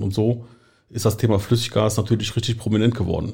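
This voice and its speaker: A man with a slight Rhineland accent speaks in a somewhat breathy voice with a dark, mellow tone. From western Germany, Eifel near Düren (Rhineland). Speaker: marketing head of a liquefied gas supplier. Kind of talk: interview. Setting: studio.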